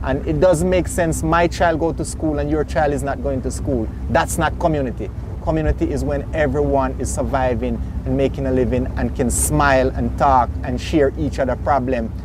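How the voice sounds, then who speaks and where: With light-to-noticeable background noise present, a man with a Jamaican accent talks at a moderate pace. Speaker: boat captain and tour operator. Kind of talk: interview answer.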